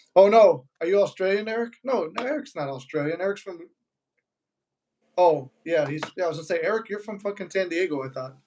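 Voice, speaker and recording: Speaking at a fairly quick pace with a Chicago accent, a man has a dark, mellow tone, a high pitch and big swings in loudness. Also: lively intonation. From Chicago, US. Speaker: manifestation YouTuber. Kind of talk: casual live-stream chat. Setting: live stream.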